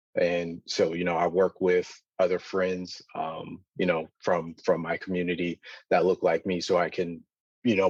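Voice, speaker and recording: With an American accent, this voice moves at a moderate pace in flat, monotone intonation, recorded dry and close with no echo over a quiet background. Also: man. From US inner city. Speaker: data science alumnus. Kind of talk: panel discussion. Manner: halting, many fillers.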